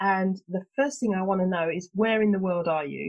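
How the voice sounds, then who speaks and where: A woman speaks with a British accent at a moderate pace. Her medium-pitched voice is somewhat breathy. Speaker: podcast host. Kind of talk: interview.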